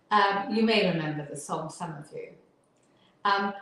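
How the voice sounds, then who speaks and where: Audible room echo surrounds the recording. A woman speaks with lively intonation. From northern England. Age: 70s. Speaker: Alexander teacher and physiotherapist. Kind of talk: interview.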